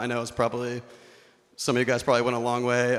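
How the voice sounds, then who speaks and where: The speaker is a man with a medium pitch. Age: 20s. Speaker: wedding speech giver, best man. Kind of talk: wedding toast. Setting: wedding reception with audience. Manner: monotone; humorous, casual.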